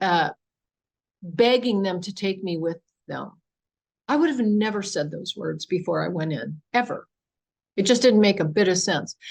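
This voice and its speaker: A woman speaks with vocal fry and lively intonation. She leaves long, frequent pauses. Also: medium pitch for a woman, moderate pace. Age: 70s. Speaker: UFO experiencer and author. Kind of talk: presentation Q&A testimony. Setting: public meeting with audience in room and online.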